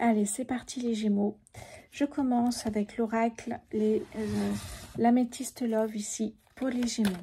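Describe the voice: Soft-spoken and slightly husky at the edge, a woman talks at a fairly slow pace in a dark, mellow tone, her fairly high pitch showing little movement.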